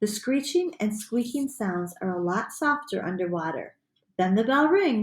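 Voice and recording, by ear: Over a quiet background, someone reads aloud in a natural voice with lively intonation.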